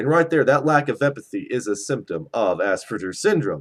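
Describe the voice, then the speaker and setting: A man speaks with a fairly high pitch and vocal fry. The recording is very clean, with a silent background. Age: 20s. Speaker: vlogger. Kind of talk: personal rant vlog. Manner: repeats words, some stumbling.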